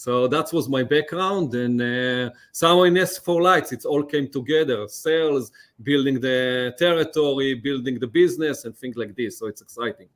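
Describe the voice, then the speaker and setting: This man talks in an Israeli accent. His pitch is fairly high, with ordinary pitch variation. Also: moderate pace. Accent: Israeli accent, often mistaken for French. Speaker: lighting company account executive. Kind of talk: podcast interview. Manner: halting, many fillers.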